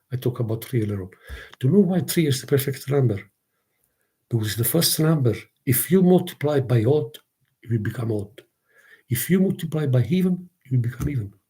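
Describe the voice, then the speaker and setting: This man has a somewhat breathy, dark, mellow tone at a medium pitch. He speaks at a fairly quick pace with lively intonation and long, frequent pauses. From southern Italy, Naples. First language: Italian. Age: 60s. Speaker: content creator. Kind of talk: casual livestream monologue. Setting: live stream. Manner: halting, repetitive.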